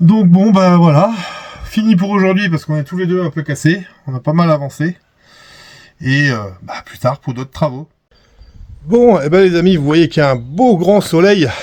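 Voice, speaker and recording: Long, frequent pauses, big swings in loudness and ordinary pitch variation. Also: man, high pitch for a man, moderate pace. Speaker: camper van vlogger. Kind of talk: casual vlog commentary.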